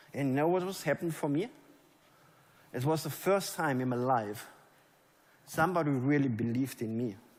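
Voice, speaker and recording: With audible room echo, a man in a German accent speaks at a moderate pace with a fairly high pitch and ordinary pitch variation. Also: long, frequent pauses. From Germany. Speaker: network marketing leader. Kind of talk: motivational speech. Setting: stage with audience.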